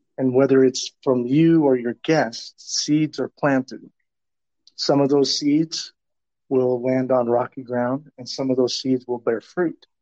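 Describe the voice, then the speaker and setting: Fairly slow and monotone, a man speaks with flat intonation at a medium pitch. He has a Southwestern US accent. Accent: American, Southwestern US. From Tucson, Arizona. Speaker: professional development expert. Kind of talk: interview conversation.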